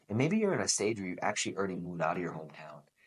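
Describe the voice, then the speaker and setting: This is a man's voice. His pitch sits fairly low. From New England (Boston). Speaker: podcast host. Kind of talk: motivational podcast monologue. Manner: animated.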